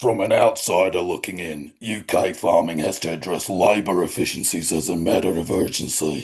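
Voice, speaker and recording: At a moderate pace, a man does a raspy put-on character voice with a very deep, low pitch and fairly even intonation, over a quiet background. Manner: confident, opinionated.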